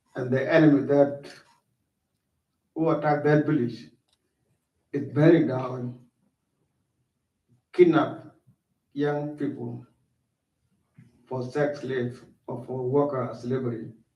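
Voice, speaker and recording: A man talks very slowly in a fairly high, somewhat breathy voice with flat, monotone intonation. Long pauses come often, and room echo is audible. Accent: South Sudanese. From South Sudan. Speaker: war refugee speaker. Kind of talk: school talk to students. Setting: school assembly, livestreamed.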